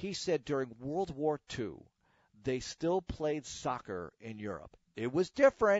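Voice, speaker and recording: At a fairly slow pace, a fairly high-pitched man speaks with very wide pitch swings. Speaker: sports radio host. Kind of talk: casual solo podcast monologue. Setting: home, alone.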